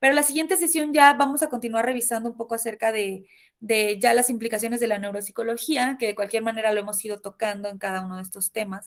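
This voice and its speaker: Speaking at a very fast pace with hardly any pauses, a woman uses a fairly high pitch and big swings in loudness. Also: ordinary pitch variation. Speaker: university lecturer. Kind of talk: online lecture.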